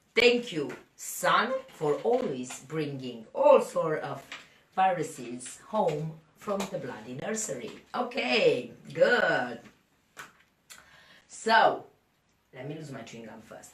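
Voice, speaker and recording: At a very slow pace with long, frequent pauses, a woman speaks at a fairly low pitch with very wide pitch swings and big swings in loudness, in audible room echo. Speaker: fitness coach and podcaster. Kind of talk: podcast monologue. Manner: casual, chatty.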